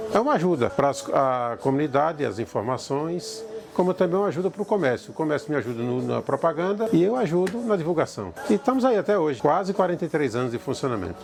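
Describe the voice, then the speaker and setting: A man's fairly high voice racing at a very fast pace with very wide pitch swings, hardly any pauses and noticeable background noise. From Bahia, Brazil. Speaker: community radio operator. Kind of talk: oral history testimony.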